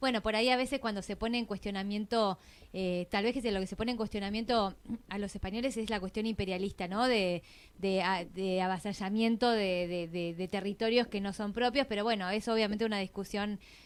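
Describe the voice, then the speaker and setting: The speaker, with a Rioplatense accent, talks at a fairly quick pace with fairly even intonation. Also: woman. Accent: Argentine Spanish (rioplatense). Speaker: radio host. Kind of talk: radio interview.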